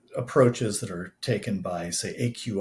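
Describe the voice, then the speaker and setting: This man talks at a fairly slow pace in a fairly low, somewhat breathy voice. His pitch varies in an ordinary way. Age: 60s. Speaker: scientist and systematic trader. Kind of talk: podcast interview. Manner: many filler words, halting.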